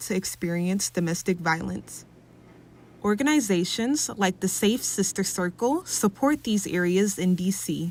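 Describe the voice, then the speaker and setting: A woman uses a normal speaking voice at medium pitch, moving at a moderate pace with lively intonation. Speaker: student news reporter. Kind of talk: TV news report.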